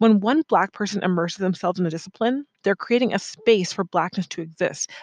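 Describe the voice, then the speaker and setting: A woman talks at a medium pitch with ordinary pitch variation. It is a normal speaking voice. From United States. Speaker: podcast host and art writer. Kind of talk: solo monologue podcast. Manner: casual and conversational.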